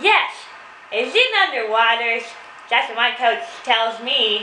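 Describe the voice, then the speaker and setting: A female-sounding cartoonish character voice comes through at a fairly high pitch and a fairly slow pace. Background noise is clear. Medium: puppet. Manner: eager, naive.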